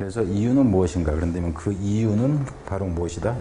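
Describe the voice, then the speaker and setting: A man with a fairly low pitch, very fast pace and lively intonation, over light background noise. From South Korea. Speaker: English teacher. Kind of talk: lecture. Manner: casual. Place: studio.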